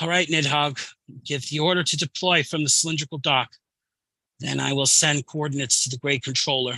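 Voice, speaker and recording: Putting on a croaky, gravelly character voice, a man speaks fairly high and fairly quickly, the sound dry and close with no echo. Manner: excited, cool.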